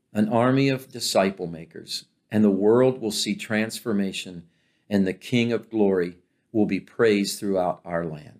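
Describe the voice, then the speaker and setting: At a fairly slow pace, a man talks with a fairly low pitch. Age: 60s. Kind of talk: Bible teaching talk. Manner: halting, with frequent fillers.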